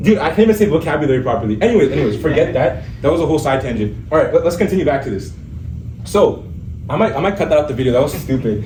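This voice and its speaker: Amid noticeable background noise and audible room echo, a man talks very fast at a fairly high pitch with very wide pitch swings. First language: Urdu. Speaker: MCAT tutor. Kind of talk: lecture. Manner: casual, stumbling over words. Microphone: no microphone.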